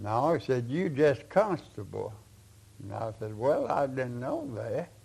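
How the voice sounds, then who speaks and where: A somewhat breathy man with a Kentucky accent, at a fairly slow pace with big swings in loudness. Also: medium pitch for a man, lively intonation. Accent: Southern US (Kentucky). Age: 90s. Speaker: retired county sheriff. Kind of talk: interview answer, storytelling.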